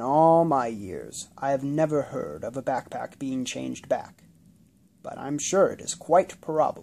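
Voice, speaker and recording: Using a put-on character voice, a man speaks at a moderate pace with a fairly high pitch in a very clean recording with a silent background. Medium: read story. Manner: calm, plain.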